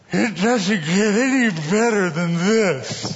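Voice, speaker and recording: At a very slow pace, the speaker uses a put-on character voice at a middle pitch. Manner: slurred speech.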